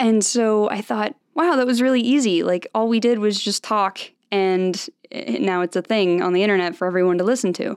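A normal speaking voice from a woman with an American accent, medium in pitch, with lively intonation at a moderate pace. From US, Salt Lake City, Utah. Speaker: podcast host and social media creator. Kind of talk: casual solo podcast monologue. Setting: home studio microphone.

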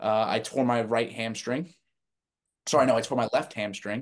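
Here is a man with an American accent and an ordinary speaking voice. He keeps a moderate pace, a medium pitch and fairly even intonation. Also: quiet background. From New Jersey. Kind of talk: interview.

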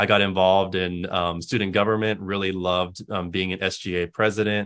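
A man with an American accent and a plain, everyday voice speaks at a moderate pace in a fairly low pitch, his intonation fairly even. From West Texas. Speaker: university diversity director. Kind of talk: interview.

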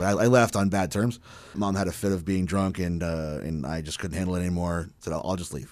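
A man's very deep, low voice with a Canadian accent, ordinary pitch variation and a fairly quick pace. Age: 30s. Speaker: musician. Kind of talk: casual chat. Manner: halting.

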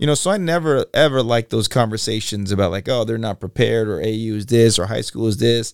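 In a dry, close sound with no echo, a man with an American accent talks at a very fast pace with hardly any pauses. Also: ordinary pitch variation. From Los Angeles. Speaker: basketball coach and leadership speaker. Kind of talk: interview. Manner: high energy.

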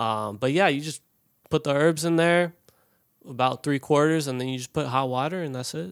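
This man has an unremarkable speaking voice, an American accent and a fairly high pitch with ordinary variation. He talks at a moderate pace in a dry, close sound with no echo. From Colorado, US. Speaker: professional soccer player. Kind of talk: casual chat. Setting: studio.

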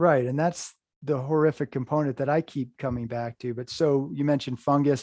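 A man uses a plain, everyday voice with an American accent and fairly even intonation. He moves at a fairly quick pace, and the sound is dry and close with no echo. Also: fairly high pitch for a man. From US Northeast, Hudson River Valley, New York. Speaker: horror podcast host and writer. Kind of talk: casual interview chat.

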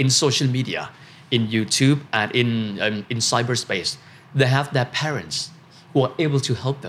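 Speaking at a moderate pace, a man with a Thai accent uses a medium-pitched voice. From Thailand. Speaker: finance commentator and podcast host. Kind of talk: casual panel discussion.

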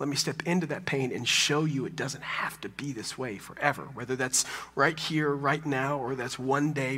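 This voice has an American accent and a bright, sharp tone, moving at a moderate pace with ordinary pitch variation. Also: man. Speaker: pastor. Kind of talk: sermon. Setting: church.

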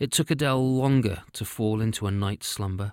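A man's plain, everyday voice at medium pitch and a fairly slow pace, on a very clean recording with a silent background. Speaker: audio storyteller. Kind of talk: scripted fairy-tale narration, read aloud with character dialogue. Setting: podcast recording. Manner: measured, storytelling cadence.

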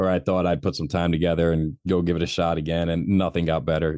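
A man with an American accent, very deep and low in pitch, with vocal fry, flat monotone intonation and a fairly quick pace. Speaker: author and public speaker, former addict. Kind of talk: casual chat, testimony.

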